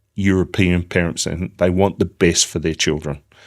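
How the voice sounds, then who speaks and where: A man talks with an Australian accent. His pitch is very deep and low. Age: 60s. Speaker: business founder. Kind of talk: interview. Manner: halting.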